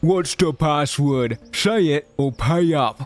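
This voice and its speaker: A man puts on a gruff character voice at a fairly high pitch, speaking very slowly with ordinary pitch variation. The sound is dry and close with no echo, with faint music in the background. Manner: demanding, threatening.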